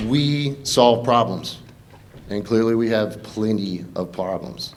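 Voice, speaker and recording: With a Southern US accent, a man speaks very slowly at a medium pitch with ordinary pitch variation. The room echo is audible. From Eastern North Carolina, Pamlico County. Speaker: congressional candidate, army veteran. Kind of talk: campaign debate speech.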